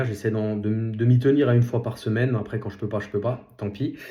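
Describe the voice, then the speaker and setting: A man with a dark, mellow tone and medium pitch speaks at a moderate pace. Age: 30s. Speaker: podcast host, nurse and property investor. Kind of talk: solo podcast monologue. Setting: self-filmed vlog. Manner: halting, many fillers.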